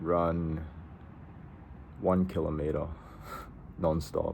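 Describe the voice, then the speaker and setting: Dark, mellow tone, somewhat breathy, with audible room echo. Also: man. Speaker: self-improvement vlogger. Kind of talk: casual vlog monologue. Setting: outdoors in a park. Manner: halting, with repeated words.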